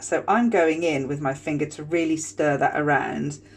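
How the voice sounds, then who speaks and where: With a British accent, a woman talks in lively intonation touched by vocal fry. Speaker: skincare tutorial host. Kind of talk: tutorial. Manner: casual, chatty.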